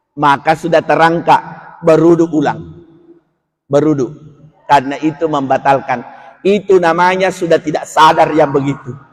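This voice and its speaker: The voice is loud and animated, moving at a moderate pace. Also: man. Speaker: Islamic preacher. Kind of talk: religious lecture. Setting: mosque.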